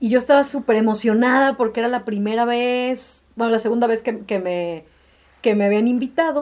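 In a very clean recording with a silent background, a woman uses a normal speaking voice at a fairly high pitch and moderate pace, with ordinary pitch variation. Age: 30s. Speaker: graphic designer. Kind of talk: casual chat.

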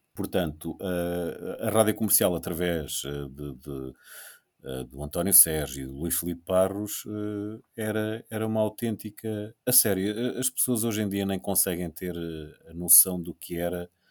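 A man speaks at a fairly slow pace with a very deep, low pitch and ordinary pitch variation. The recording is very clean, with a silent background. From Portugal. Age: 50s. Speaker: radio host. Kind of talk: casual chat. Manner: halting.

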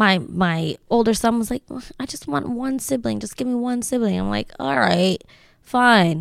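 Using a normal speaking voice, a woman with an American accent talks at a fairly high pitch and moderate pace with lively intonation. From Lancaster, Pennsylvania (from age ten). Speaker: real estate agent. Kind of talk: casual interview chat.

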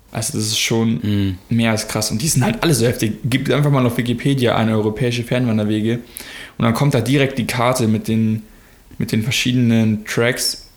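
Fairly quick, fairly even speech from a man at a medium pitch, over noticeable background noise. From Germany. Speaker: podcast co-host. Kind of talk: casual chat.

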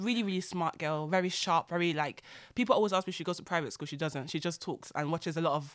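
Heard on a very clean recording with a silent background, a woman with a fairly low pitch uses an ordinary speaking voice with ordinary pitch variation. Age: 30s. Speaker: podcast host. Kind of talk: casual chat.

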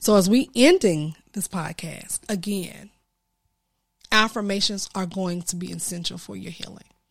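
An animated woman's voice with ordinary pitch variation, big swings in loudness, and long, frequent pauses. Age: 40s. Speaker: transformation coach and podcast host. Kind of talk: solo podcast monologue. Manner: casual, with fillers and restarts.

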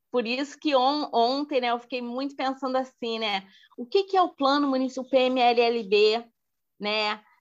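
A woman with a high pitch and ordinary pitch variation talks at a fairly slow pace. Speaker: community library activist. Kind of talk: podcast interview. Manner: hesitant with fillers.

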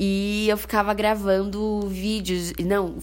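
A woman speaks with audible room echo. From interior of São Paulo state, Brazil (Bauru). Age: 20s. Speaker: podcast host, journalism student. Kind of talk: casual solo podcast monologue.

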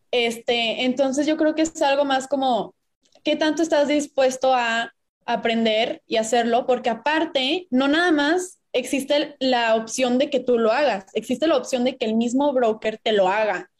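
Keeping a very even loudness, a woman speaks at a high pitch with ordinary pitch variation. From Mexico, Puebla. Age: 20s. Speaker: business student and investing content creator. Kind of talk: casual interview.

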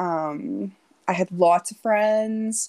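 At a very slow pace, a woman with a Canadian accent is heard on a very clean recording with a silent background and a dry, close sound with no echo. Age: 30s. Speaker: blog writer. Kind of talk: casual interview chat.

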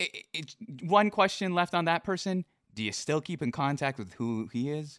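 A man with an American accent speaks in an ordinary speaking voice at a fairly high pitch, using lively intonation at a moderate pace, with a dry, close sound free of echo over a quiet background. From US Pacific Northwest. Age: 20s. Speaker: stream interview show host. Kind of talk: casual interview chat. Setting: live stream.

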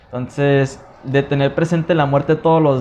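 Noticeable background noise sits behind the speech. A man talks at a moderate pace and medium pitch. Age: 30s. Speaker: podcast host. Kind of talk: casual chat.

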